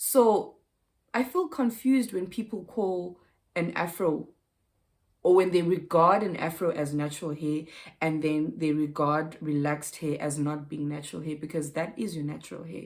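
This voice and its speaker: With a plain, everyday voice, a woman speaks at a moderate pace, her pitch fairly low and ordinarily varied. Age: 30s. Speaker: lifestyle vlogger. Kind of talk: casual vlog chat.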